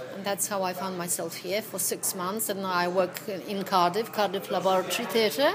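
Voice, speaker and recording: With a Polish accent, a woman speaks at a medium pitch amid noticeable background noise. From Poland. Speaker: actress. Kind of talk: casual chat. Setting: in a pub. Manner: animated.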